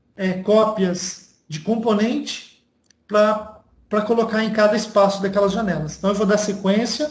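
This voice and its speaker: A man with a high voice speaks at a fairly slow pace with fairly even intonation. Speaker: university lecturer. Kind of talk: online lecture. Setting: video call from home.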